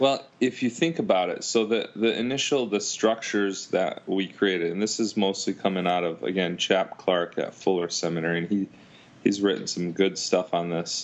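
A man speaks at a moderate pace and fairly low pitch with ordinary pitch variation. His is a plain, everyday voice. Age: 30s. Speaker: youth pastor. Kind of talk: casual interview.

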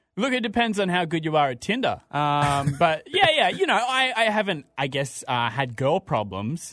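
A man at a moderate pace in an Australian accent, high in pitch with very wide pitch swings and hardly any pauses. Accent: Australian, people mistake it for English. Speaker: radio host. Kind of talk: casual chat. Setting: studio.

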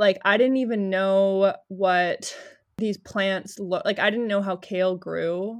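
This is an unremarkable speaking voice with a Canadian accent. The intonation is fairly even and the pace moderate. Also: woman. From Winnipeg, Canada. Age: 20s. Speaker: podcast host. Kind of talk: casual interview.

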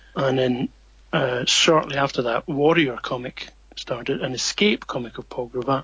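With a Scottish accent, a man speaks at a fairly slow pace and medium pitch, his intonation fairly even. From Scotland. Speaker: comics writer. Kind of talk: interview.

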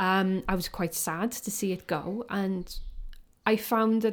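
A woman with a South Wales accent speaks at a fairly slow pace on a very clean recording with a silent background. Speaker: photographer. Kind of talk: casual interview.

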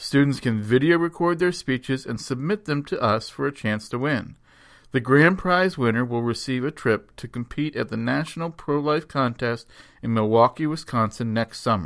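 This man has an ordinary speaking voice at medium pitch, with ordinary pitch variation and a moderate pace. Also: very clean recording, silent background. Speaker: radio host and education director of a pro-life organization. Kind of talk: scripted radio announcements.

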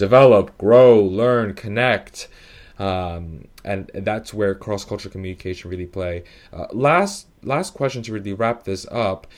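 This is an ordinary speaking voice with an American accent, ordinary pitch variation, and a fairly slow pace. The loudness swings widely, and the recording is very clean with a silent background. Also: man, fairly low pitch for a man. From New York, Italian and Dominican heritage. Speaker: podcast host and consultancy director. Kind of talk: interview conversation.

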